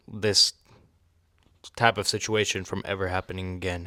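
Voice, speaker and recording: A man with a non-native accent speaks in a monotone, flat intonation. The sound is dry and close, with no echo. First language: not English. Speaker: book reviewer. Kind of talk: casual book review. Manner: hesitant, many fillers.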